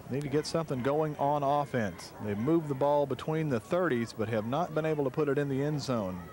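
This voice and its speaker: A fairly high-pitched man at a fairly quick pace with hardly any pauses and ordinary pitch variation, against noticeable background noise. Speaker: radio sports play-by-play announcer. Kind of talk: live commentary. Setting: outdoors at a night football game.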